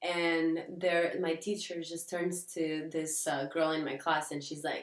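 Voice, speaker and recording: A woman talking at a very slow pace. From Portugal. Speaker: podcast co-host. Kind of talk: casual chat.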